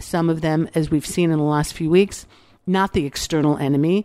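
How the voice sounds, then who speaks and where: A woman with a very deep, low pitch and a dark, mellow tone talks at a moderate pace with ordinary pitch variation, in a very clean, dry, close recording with a silent background and no echo. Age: 60s. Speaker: podcast host. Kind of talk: reflective monologue. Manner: conversational, with many fillers.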